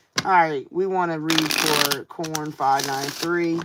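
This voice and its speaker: A woman with a fairly low pitch speaks at a very slow pace, her intonation fairly even. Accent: American. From US Midwest. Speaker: tarot card reader. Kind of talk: live-stream tarot reading. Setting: live stream. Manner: casual, chatty.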